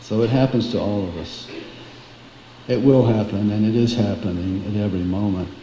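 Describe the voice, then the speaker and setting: Male speech at a moderate pace with ordinary pitch variation, plus noticeable background noise and audible room echo. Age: 70s. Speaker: devotee speaking at a memorial. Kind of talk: memorial tribute. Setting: memorial gathering, live streamed.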